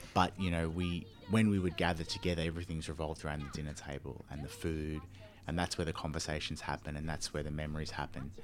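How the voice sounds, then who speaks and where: Speaking very fast with a very deep, low pitch, a man talks in an Australian accent with fairly even intonation. Background noise is noticeable. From Melbourne, Australia. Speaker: charity worker. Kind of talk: casual interview.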